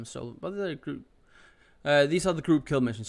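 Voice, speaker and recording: Using a put-on character voice, a man mumbles at a moderate pace in a fairly high pitch, with lively intonation and big swings in loudness. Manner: mumbling.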